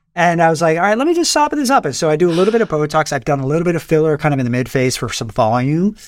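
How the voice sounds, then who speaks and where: A man's fairly high voice with lively intonation, very fast and with hardly any pauses. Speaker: plastic surgeon. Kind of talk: casual expert interview.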